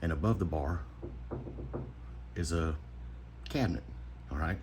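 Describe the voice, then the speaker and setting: A man whispers quietly with vocal fry. The room echo is clearly audible. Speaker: knife modder / YouTuber. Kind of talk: casual tutorial. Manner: quiet, half-whispering; casual, chatty.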